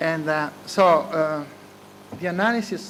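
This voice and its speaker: A man with an Italian accent talks at a fairly slow pace and a fairly high pitch, with ordinary pitch variation, audible room echo and noticeable background noise. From Italy. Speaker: economics professor. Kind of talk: conference keynote speech. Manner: hesitant, many filler sounds.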